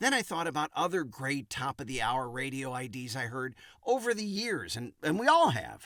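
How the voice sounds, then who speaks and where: On a very clean recording with a silent background, a man speaks at a moderate pace in a fairly high pitch, his tone bright and sharp and his intonation lively. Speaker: radio imaging voice talent and producer. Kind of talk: casual talk to camera explaining a project.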